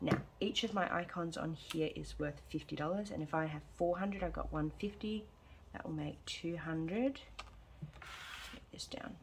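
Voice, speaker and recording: A woman talks at a moderate pace. Background noise is noticeable behind her. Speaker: budgeting vlogger. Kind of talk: casual vlog chat. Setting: at home. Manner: soft-spoken, quiet.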